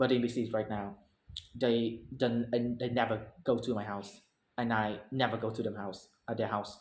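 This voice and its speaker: A man's medium-pitched voice with a Vietnamese accent, monotone and flat, at a moderate pace with audible room echo. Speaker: English learner. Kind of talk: speaking practice presentation. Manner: halting, many self-corrections.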